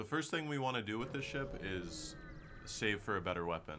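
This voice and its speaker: A man's bright, sharp tone at a moderate pace, with noticeable background noise. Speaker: game streamer. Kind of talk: gameplay commentary. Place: home room.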